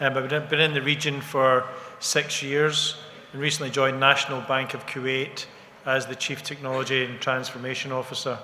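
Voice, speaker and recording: Fairly quick, monotone speech with flat intonation in a Scottish accent, over noticeable background noise. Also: man, medium pitch for a man. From Scotland. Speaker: bank technology executive. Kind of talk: panel introduction.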